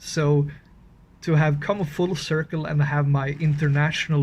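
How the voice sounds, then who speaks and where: At a fairly slow pace, a man with a Swedish accent speaks in a somewhat breathy, fairly high voice with a monotone, flat intonation. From Scandinavia. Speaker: horror story writer and channel owner. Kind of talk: casual update video. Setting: outdoors in freezing cold. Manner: halting, with fillers.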